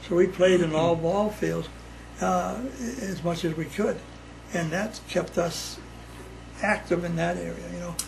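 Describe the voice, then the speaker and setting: A man talks amid audible room echo and noticeable background noise. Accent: American. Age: 80s+. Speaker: family elder interviewee. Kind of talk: casual chat. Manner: halting.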